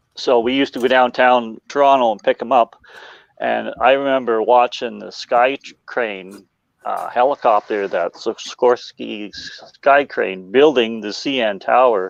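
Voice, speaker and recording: A man with an Ontario accent talks fairly slowly at medium pitch with fairly even intonation. His loudness swings a lot, and the sound is dry and close with no echo. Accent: Canadian (Ontario). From Ontario, Canada. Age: 60s. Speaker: model railroad hobbyist. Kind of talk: casual chat.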